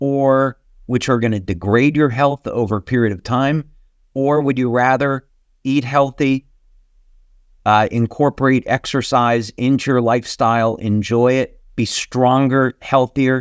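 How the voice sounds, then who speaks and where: This is a normal speaking voice with fairly even intonation at a fairly slow pace. The sound is dry and close with no echo, over a quiet background. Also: man, medium pitch for a man. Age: 60s. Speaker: company founder and CEO. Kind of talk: webinar presentation. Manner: casual, filler-heavy.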